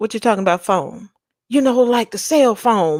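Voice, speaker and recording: A woman with a Louisiana accent speaks with ordinary pitch variation. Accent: Louisiana-tinged Southern. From Texas. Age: 40s. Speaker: tarot reader livestream host. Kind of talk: casual livestream chat. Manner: animated.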